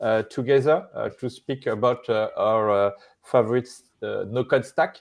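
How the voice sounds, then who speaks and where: A French accent over a quiet background. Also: man. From France. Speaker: live show co-host. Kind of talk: live stream conversation. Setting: live stream. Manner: halting, many fillers. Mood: friendly, smiling. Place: home room. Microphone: earbuds.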